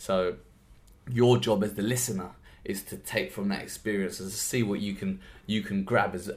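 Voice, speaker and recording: This man has a fairly low pitch and speaks with a London accent. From South East London, Lewisham. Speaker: podcast host and workshop trainer. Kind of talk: solo podcast monologue. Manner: animated, with frequent repeated words.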